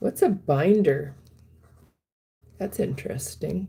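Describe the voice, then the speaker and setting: The pace of this woman's speech is very slow. There is a somewhat breathy quality to her voice. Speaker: wellness livestreamer. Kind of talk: live stream chat reading viewer comments. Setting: live stream. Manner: halting, many ums.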